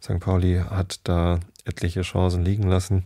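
A man speaks in a very deep, low voice with a dark, mellow, relaxed tone. The recording is very clean, with a silent background. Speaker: podcast host who reads bedtime stories. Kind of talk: casual chat then reading aloud. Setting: home recording, solo. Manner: relaxed, rambling, uses many fillers.

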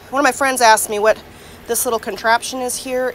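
A woman speaks over noticeable background noise, the sound dry with no echo. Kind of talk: casual vlog chat. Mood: relaxed, wry humor. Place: garden. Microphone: phone near.

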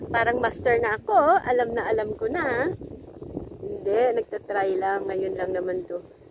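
With a Filipino accent, a woman speaks at a fairly high pitch with very wide pitch swings, the sound dry with no echo and noticeable background noise. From Philippines. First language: Tagalog. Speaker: vlogger. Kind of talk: casual vlog. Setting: outdoors. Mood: cheerful, laughing. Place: waterside. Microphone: phone near.

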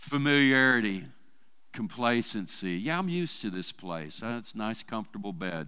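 Against a quiet background, a man with an American accent talks at a moderate pace in a bright, sharp tone, his pitch swinging very widely. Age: 50s. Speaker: church preacher. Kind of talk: sermon. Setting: church service with congregation. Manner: casual, conversational with fillers. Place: church. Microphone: headset.

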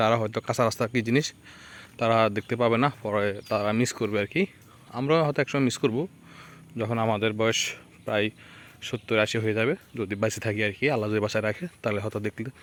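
Dry and close with no echo, the recording carries a man with an unremarkable speaking voice, medium pitch and fairly even intonation. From Bangladesh, Lakshmipur. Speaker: village vlogger. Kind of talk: walking vlog narration. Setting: outdoors on a muddy village road.

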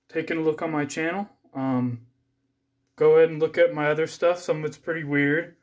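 A man at a moderate pace, ordinary pitch variation, and a quiet background. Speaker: amateur YouTuber. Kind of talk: casual vlog chat. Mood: grateful, modest. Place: home room. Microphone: phone near.

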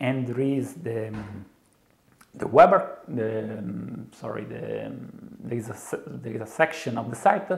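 With an Italian accent, a man talks at a fairly slow pace with long, frequent pauses, lively intonation and big swings in loudness. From Italy. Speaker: software developer. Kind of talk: interview answer. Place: studio. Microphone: lapel.

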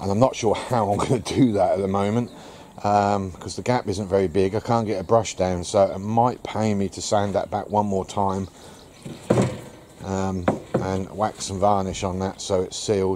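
Amid noticeable background noise, a man with a fairly low pitch speaks at a moderate pace in a flat monotone. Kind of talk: casual vlog chat. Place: garden. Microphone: phone near.

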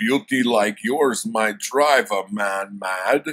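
A man's put-on character voice at a medium pitch, delivered at a very slow pace. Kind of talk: casual book review chat. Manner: gruff, heroic.

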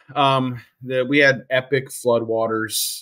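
The man's tone is bright and sharp. Little can be heard around him. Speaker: guest. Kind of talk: interview answer. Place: home room.

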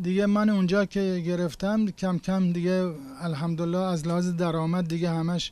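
A man with a high pitch talks with fairly even intonation, and the sound is dry with no echo. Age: 70s. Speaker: toy repairman. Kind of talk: interview answer.

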